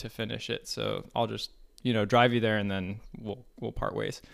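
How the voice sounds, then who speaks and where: A man speaks with a General American accent. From Colorado, US. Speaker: married couple guest, military officer. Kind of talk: casual interview chat. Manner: relaxed, hesitant with fillers.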